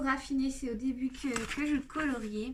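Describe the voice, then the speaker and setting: Against noticeable background noise, a woman speaks fairly slowly at a high pitch. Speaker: YouTuber showing coloring book collection. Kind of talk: casual video presentation. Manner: hesitant, many fillers.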